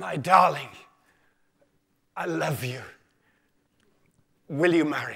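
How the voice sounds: In a put-on character voice, a man sounds croaky and hoarse with a fairly high pitch. He goes at a fairly slow pace, with long, frequent pauses.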